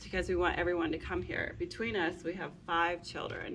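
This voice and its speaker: Noticeable background noise runs through this clip. A woman speaks at a moderate pace. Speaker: homesteader building a house. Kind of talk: casual chat.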